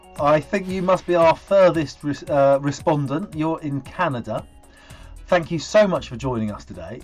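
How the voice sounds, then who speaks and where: A man at a fairly high pitch and moderate pace, with ordinary pitch variation, big swings in loudness and music in the background. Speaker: interviewer. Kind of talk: interview questions.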